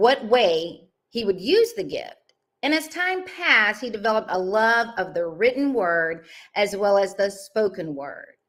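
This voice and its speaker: Very wide pitch swings run through a woman's fairly high-pitched speech. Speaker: mindset and confidence coach. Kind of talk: podcast host introduction.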